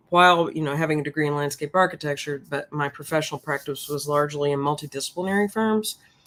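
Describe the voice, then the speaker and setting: A woman's very deep, low voice in a Southern US accent, very fast with hardly any pauses and ordinary pitch variation. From US South, Memphis, Tennessee. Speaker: professor. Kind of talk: interview.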